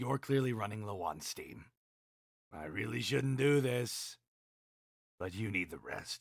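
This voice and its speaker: A man's raspy, fairly low put-on character voice at a fairly slow pace. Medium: game stream. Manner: concerned, exasperated.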